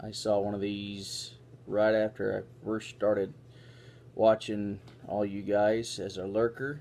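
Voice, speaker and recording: Over light background noise, a man speaks at a fairly low pitch in a dark, mellow tone with fairly even intonation. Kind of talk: casual vlog chat. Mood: relaxed, pleased. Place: home room.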